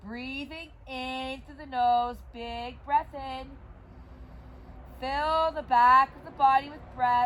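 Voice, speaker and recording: Over noticeable background noise, a woman with a high voice speaks very slowly. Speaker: yoga teacher. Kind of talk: guided yoga class. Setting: outdoors in her yard. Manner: loud. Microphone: no microphone, volume poor.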